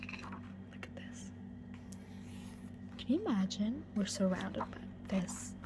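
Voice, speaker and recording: Soft-spoken whispering moves at a very slow pace over noticeable background noise. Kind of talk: ASMR book walkthrough, casual talk to camera.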